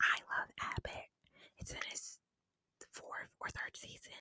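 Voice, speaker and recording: Whispering very slowly, a woman is heard in a dry, close sound with no echo. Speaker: ASMR creator. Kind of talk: casual chatty talk to camera. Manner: whispered, close-mic.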